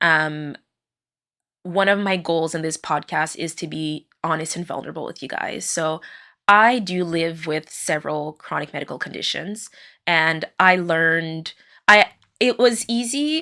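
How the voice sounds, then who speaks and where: A woman's fairly low voice with ordinary pitch variation, a bright, sharp tone and a fairly slow pace, on a very clean recording over a silent background. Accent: French Canadian. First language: French. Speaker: podcast host, occupational therapist. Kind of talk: personal monologue. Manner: hesitant, many fillers.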